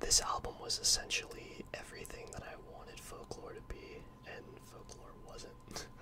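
A man whispering at a fairly slow pace. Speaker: ASMR creator. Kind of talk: casual ASMR talk to camera. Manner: whispered.

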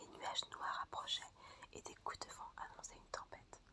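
Whispering in a calm tone, the speaker keeps a moderate pace. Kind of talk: whispered ASMR fairy-tale reading for sleep and relaxation. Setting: audio recorded close-up for ASMR. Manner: whispered, soft-spoken, calm.

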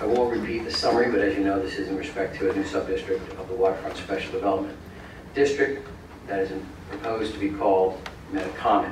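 A man speaks at a very fast pace with a fairly low pitch and ordinary pitch variation. There is audible room echo and noticeable background noise. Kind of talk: formal presentation to council. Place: hall. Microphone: camera far.

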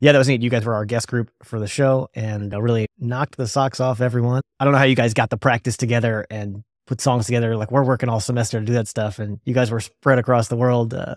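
On a very clean recording with a silent background, a man speaks fast at a medium pitch with fairly even intonation.

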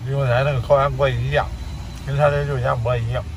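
There is noticeable background noise here. Over it, a man speaks at a moderate pace. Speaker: travel vlogger living in a three-wheeler camper. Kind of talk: casual vlog monologue to viewers. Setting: outdoors and inside a small camper in the rain. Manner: animated, chatty.

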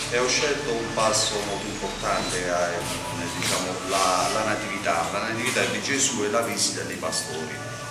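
A man speaks at a moderate pace with audible room echo and loud music in the background. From Putignano, Apulia, southern Italy. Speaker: author reading from his own book. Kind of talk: spoken introduction to a reading. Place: hall. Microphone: camera far.

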